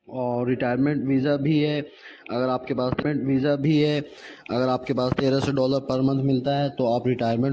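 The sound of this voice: A man's dark, mellow tone with little pitch movement and audible room echo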